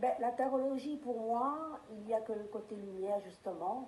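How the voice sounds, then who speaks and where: With audible room echo, a woman speaks at a fairly slow pace using ordinary pitch variation. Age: 50s. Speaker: tarot reader. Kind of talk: interview. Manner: hesitant, with frequent fillers.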